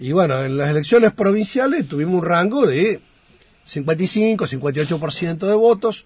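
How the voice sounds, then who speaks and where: A man speaks at a very slow pace. His pitch is high, with lively intonation. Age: 50s. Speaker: national congressman. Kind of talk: radio interview. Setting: radio studio.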